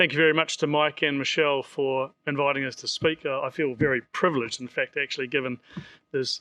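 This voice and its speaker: In a New Zealand accent, a man speaks very fast in a fairly high, flat monotone, his bright, sharp tone dry and close with no echo against a quiet background. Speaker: seafood industry presenter. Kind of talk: conference presentation. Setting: stage with audience.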